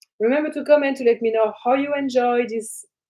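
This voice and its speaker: This woman's voice sits at a high pitch. She speaks with a French accent. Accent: French accent, noticeable. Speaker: spiritual teacher and trance channel. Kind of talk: live stream talk to viewers. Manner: animated.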